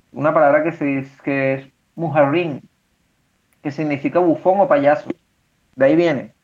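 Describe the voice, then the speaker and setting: Pausing long and often, a man talks at a fairly slow pace in a fairly high voice with fairly even intonation. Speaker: podcast co-host. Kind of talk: casual chat.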